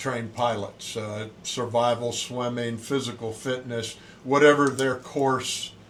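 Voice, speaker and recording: Audible room echo carries a man's very slow, monotone, flat delivery with an American accent. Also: medium pitch for a man. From US South, Pensacola, Florida. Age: 60s. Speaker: Navy swim and fitness instructor, former SEAL. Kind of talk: casual interview.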